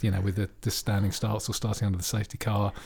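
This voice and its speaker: Captured on a very clean recording with a silent background, a man speaks at a fairly low pitch in a somewhat breathy voice. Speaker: F1 podcast host. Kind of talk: casual banter about F1. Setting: home recording with separate microphones.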